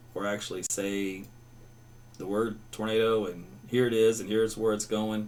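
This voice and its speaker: With a slight Southern accent, a man talks at a moderate pace in a fairly low pitch. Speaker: meteorologist. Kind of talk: live weather broadcast with chat reading. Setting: live stream. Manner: casual, conversational.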